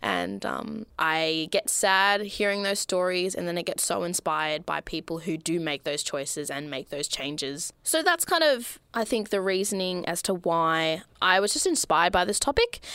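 In a very clean recording with a silent background, a woman with an Australian accent speaks at a moderate pace with hardly any pauses, a medium pitch, ordinary pitch variation and a bright, sharp tone. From Melbourne, Australia. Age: 20s. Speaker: podcast host. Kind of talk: solo monologue. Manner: animated.

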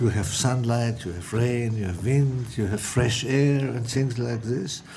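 Speaking at a fairly slow pace, a man with a dark, mellow, somewhat breathy tone uses ordinary pitch variation amid audible room echo. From Austrian mountain village. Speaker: architect. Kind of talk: interview.

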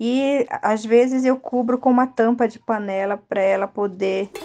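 The speaker has a normal speaking voice and fairly even intonation. The pace is fairly slow. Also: woman. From Rio Negro region, Amazonas, Brazil. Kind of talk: recipe explanation.

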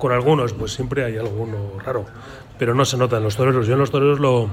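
Speaking very fast at medium pitch with fairly even intonation, a man is heard through audible room echo and noticeable background noise. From Colmenar Viejo, Madrid region. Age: 60s. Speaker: former handball player. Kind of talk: round-table radio talk.

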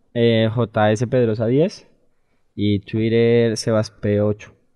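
A man with a medium-pitched voice delivers his words very slowly. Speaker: youth academy footballer. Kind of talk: casual interview.

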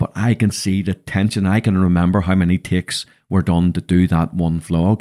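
In a Northern Irish accent, a man with a very deep, low pitch speaks at a moderate pace in a dark, mellow tone and a monotone, flat intonation, the sound dry and close with no echo. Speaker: podcast host and business mentor. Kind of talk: casual chat. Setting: studio.

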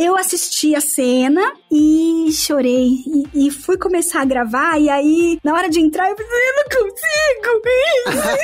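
Over noticeable background noise, a woman speaks very slowly with hardly any pauses, her extremely high pitch swinging very widely. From São Paulo state, Santo André. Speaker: voice actress. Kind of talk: casual interview chat.

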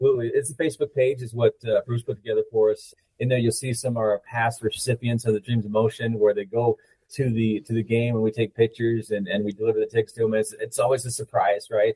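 In an American accent, a man with a medium-pitched, dark, mellow, somewhat breathy voice talks very fast in a flat monotone, with dry, close sound and no echo. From Utah (Uinta Basin). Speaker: army officer. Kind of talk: interview.

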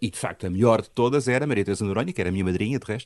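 There is a quiet background as a man's voice rises and falls with ordinary pitch variation. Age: 60s. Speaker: musicologist and university professor. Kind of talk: interview.

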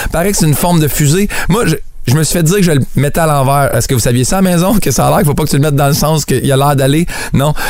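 Words come at a very fast pace with very even loudness and ordinary pitch variation. Noticeable background noise is audible. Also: man, fairly high pitch for a man. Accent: Quebec. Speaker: radio humor columnist. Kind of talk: comic radio segment.

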